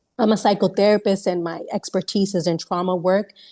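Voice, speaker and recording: A woman speaks at a fairly quick pace with medium pitch. Her intonation stays fairly even over a quiet background. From New York, of Puerto Rican parents. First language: Spanish. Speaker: psychotherapist. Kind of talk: webinar panel introduction. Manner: halting, many fillers and repeats.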